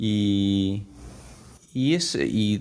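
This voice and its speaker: A man speaks with ordinary pitch variation. The recording is very clean, the background silent. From Peru, Apurímac (Andes). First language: Quechua (bilingual with Spanish) (speaking Spanish). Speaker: Quechua language teacher. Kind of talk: interview testimony.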